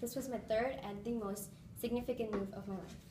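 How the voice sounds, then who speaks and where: Over noticeable background noise and audible room echo, a woman with an American accent talks at a very fast pace. Her pitch is fairly high. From India, Bahrain and the US. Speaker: public speaking club member. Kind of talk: prepared speech.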